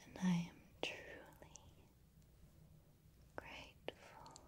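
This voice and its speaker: Whispering softly, a woman speaks in a breathy voice over light background noise. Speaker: ASMR creator. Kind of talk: soft-spoken affirmations to the viewer. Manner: soft, breathy whisper close to mic.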